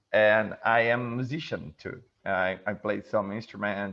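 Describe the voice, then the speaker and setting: A man's fairly low-pitched voice at a fairly slow pace, with a Brazilian Portuguese accent. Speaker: event host. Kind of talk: video interview. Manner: halting, many fillers and repeats.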